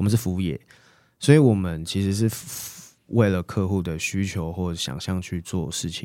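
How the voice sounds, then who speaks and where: On a very clean recording with a silent background, a man speaks at a moderate pace. His very deep, low voice has a dark, mellow tone. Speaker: interior designer. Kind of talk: casual chat.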